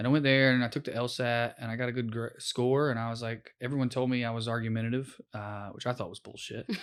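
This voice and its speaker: The speaker has a Southern US accent and a monotone, flat intonation, moving at a fairly quick pace. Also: man, quiet background. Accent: Southern US accent, milder than in youth. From rural East Tennessee, small town. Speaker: comedian, former public defender. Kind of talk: podcast interview.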